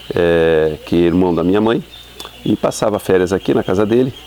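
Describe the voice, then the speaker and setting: Over noticeable background noise, a man talks with a very deep, low pitch and ordinary pitch variation. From Brazil, São Paulo city. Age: 60s. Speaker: university professor. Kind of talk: interview testimony. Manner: hesitant, many fillers.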